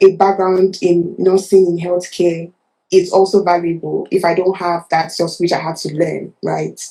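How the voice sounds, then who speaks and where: A woman speaks with a Nigerian accent. Her pitch is fairly low. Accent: Nigerian accent, unchanged. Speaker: nurse turned product manager. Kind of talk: interview. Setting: livestream. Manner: halting, many fillers.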